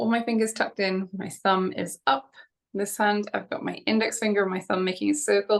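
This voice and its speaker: Against a quiet background, a woman's speech keeps a moderate pace. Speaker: fitness instructor. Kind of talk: exercise class instruction. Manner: casual, chatty. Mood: friendly, light-hearted. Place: home room. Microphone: webcam.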